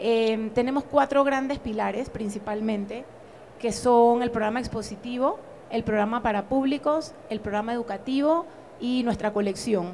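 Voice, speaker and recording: A woman speaks at a moderate pace in an unremarkable speaking voice. Her pitch is fairly high with ordinary variation, over light background noise. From Panama. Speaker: museum director; museum director on a panel. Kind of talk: panel discussion. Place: hall.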